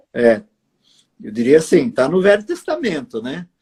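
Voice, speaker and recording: The man's voice has a dark, mellow tone. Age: 60s. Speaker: pastor and writer. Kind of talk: interview on a live stream. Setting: live stream video call.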